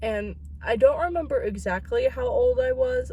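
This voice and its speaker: There is audible room echo around the woman speaking. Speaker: vlogger. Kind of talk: casual vlog. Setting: in a car.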